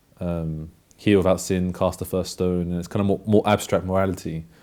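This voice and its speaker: A man with a London accent speaks in a very deep, low pitch and a dark, mellow tone. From London, England. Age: 20s. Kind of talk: testimony. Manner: halting.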